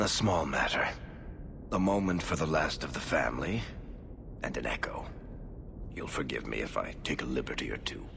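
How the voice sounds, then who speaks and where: Whispering in a put-on character voice, a man speaks at a moderate pace with long, frequent pauses over loud background noise. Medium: video game.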